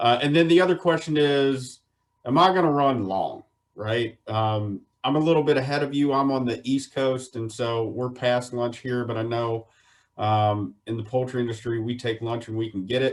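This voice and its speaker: A man with a Southern US accent, medium in pitch, with ordinary pitch variation and a moderate pace. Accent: Southern American. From US South, Virginia (Shenandoah Valley). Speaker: poultry water quality specialist. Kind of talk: webinar presentation. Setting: online webinar.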